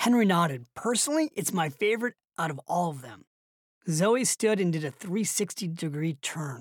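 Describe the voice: Background sound is quiet. The plain reading aloud carries lively intonation.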